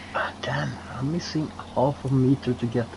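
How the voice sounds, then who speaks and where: A man speaks with a Norwegian accent. Noticeable background noise runs underneath. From Norway. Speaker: co-op gamer. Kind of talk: casual chat.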